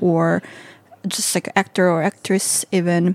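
A woman speaks at a medium pitch with a Korean accent, recorded very cleanly against a silent background with a dry, close sound and no echo. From South Korea.

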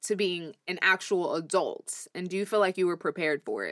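A woman at a medium pitch and moderate pace, an ordinary speaking voice, with a dry, close sound and no echo. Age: 20s. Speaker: podcast co-host. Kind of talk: casual chat.

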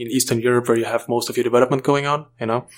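Monotone and flat in intonation, the man talks at a medium pitch. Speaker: remote work specialist. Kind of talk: casual interview.

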